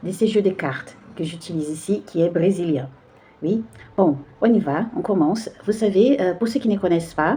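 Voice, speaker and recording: In a Brazilian accent, a woman speaks at a moderate pace with lively intonation. There is noticeable background noise. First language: Portuguese (speaking French). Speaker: tarot card reader. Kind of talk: spiritual card reading. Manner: halting, many hesitations.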